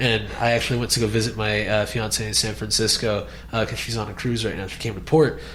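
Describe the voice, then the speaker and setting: Through audible room echo and noticeable background noise, the voice races at a very fast pace in a monotone, flat intonation. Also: man, medium pitch for a man. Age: 20s. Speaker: podcast host. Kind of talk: casual interview.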